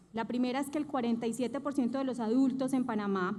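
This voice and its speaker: With a Colombian paisa accent, a woman speaks at a fairly high pitch. Audible room echo surrounds her voice. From Colombia, Antioquia (paisa region). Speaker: bank executive, conference speaker. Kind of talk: conference talk.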